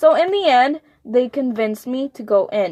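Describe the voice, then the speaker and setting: Music plays behind a woman with an American accent. She speaks at a fairly slow pace, and the sound is dry and close with no echo. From United States, Mexican American. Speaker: podcast co-host. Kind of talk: casual chat, telling a dream story. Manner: halting, many fillers.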